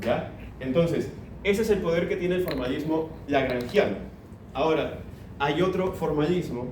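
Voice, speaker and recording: Speaking at a moderate pace with long, frequent pauses, a man with a fairly high pitch and ordinary pitch variation is heard over noticeable background noise and audible room echo. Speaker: lecturer. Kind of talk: lecture.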